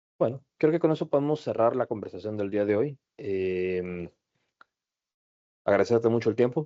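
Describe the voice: Speaking at a moderate pace, a man uses ordinary pitch variation at a fairly low pitch.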